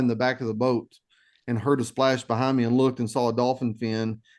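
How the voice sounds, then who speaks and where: In a Texas accent, the voice rushes along at a very fast pace with monotone, flat intonation. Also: man. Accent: Texas twang. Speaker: nature photographer. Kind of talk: presentation. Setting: video call.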